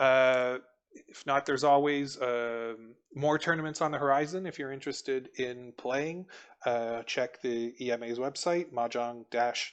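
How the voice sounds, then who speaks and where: A man with fairly even intonation keeps to a medium pitch while talking at a fairly slow pace. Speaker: mahjong commentator. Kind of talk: live commentary. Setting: live stream. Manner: calm.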